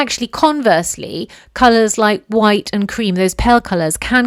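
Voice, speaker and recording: A woman with a British accent, animated in tone, with ordinary pitch variation. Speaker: podcast host, dressmaker. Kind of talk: solo podcast monologue.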